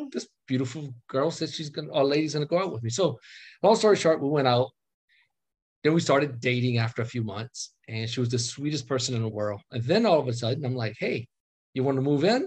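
Somewhat breathy and at medium pitch, a man speaks at a fairly quick pace with lively intonation over a quiet background. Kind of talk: casual chat. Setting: video call.

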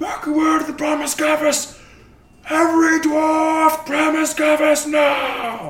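In a high-pitched, put-on character voice, the speaker goes at a fairly slow pace with flat, monotone intonation. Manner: shouting, urgent.

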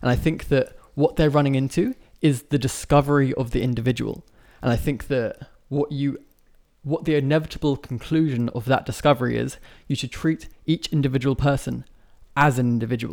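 A man with a plain, everyday voice, fairly high in pitch, at a fairly quick pace with fairly even intonation. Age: 20s. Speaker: social media commentator. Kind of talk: casual chat.

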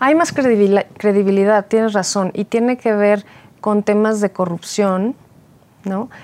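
A woman talks at a fairly slow pace, her pitch medium and its variation ordinary. The sound is dry and close, with no echo. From Mexico City. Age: 40s. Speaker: political candidate. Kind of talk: interview. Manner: halting.

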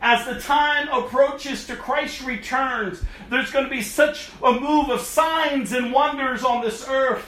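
A man speaks in a raised, projected voice at an extremely high pitch and a fairly slow pace. His intonation stays fairly even over noticeable background noise. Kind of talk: sermon, fiery exhortation. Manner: urgent, forceful, scolding; emphatic, repetitive, rising intensity.

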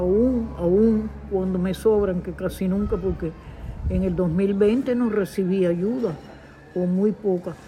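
Over noticeable background noise, a woman talks very slowly at a medium pitch with fairly even intonation. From Cuba. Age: 80s+. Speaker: elderly woman at risk of social exclusion. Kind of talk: interview testimony.

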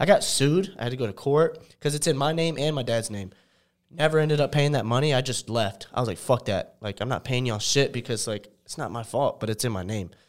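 In an ordinary speaking voice of medium pitch, a man talks at a fairly quick pace with lively intonation, recorded very cleanly against a silent background. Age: 20s. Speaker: content creator. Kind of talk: casual chat.

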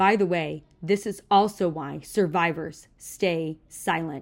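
A woman talks in an ordinary speaking voice with a fairly low pitch and fairly even intonation. The recording is very clean, with a silent background. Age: 30s. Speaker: podcast host sharing personal story. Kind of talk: personal monologue. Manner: emotional, candid.

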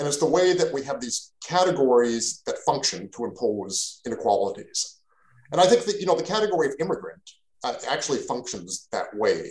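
Spoken at a fairly quick pace, the voice has a Canadian accent. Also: man. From Canada. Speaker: philosophy professor. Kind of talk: interview on a podcast. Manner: repetitive, halting with many fillers.

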